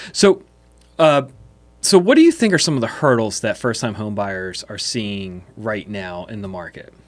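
A man with an American accent, a plain, everyday voice, fairly low pitch, lively intonation and a moderate pace. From Pennsylvania, Chester County (West Chester). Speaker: podcast host, real estate. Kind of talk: casual interview.

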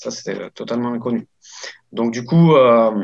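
Here is a man with a medium-pitched voice. His pitch varies in an ordinary way. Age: 30s. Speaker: e-commerce entrepreneur, former car dealership manager. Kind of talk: interview testimony. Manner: halting, many fillers and repetitions.

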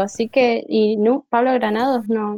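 A woman speaks fairly slowly. Her intonation is monotone and flat. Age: 20s. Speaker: podcast panelist. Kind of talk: casual chat. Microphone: very quiet, low volume.

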